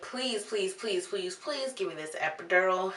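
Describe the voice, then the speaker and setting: A woman's put-on character voice at medium pitch and a moderate pace, over clear background noise. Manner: desperate, pleading.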